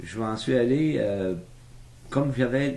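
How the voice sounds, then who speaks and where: Audible room echo surrounds a man who speaks at a very slow pace in a dark, mellow tone. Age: 70s. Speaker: retired businessman telling his life story. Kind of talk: oral history interview. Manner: hesitant, many fillers.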